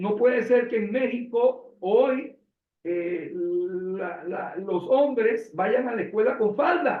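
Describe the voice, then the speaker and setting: This man's voice sits high in pitch, with lively intonation. He speaks at a very slow pace. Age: 60s. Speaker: interviewer. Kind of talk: interview.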